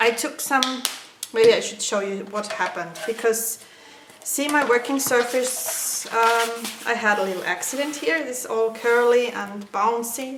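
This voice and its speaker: With a non-native accent, a woman speaks at a fairly high pitch and fairly slow pace with ordinary pitch variation. The recording carries audible room echo and noticeable background noise. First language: not English. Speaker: craft tutorial maker. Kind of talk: tutorial. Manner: halting, many filler sounds.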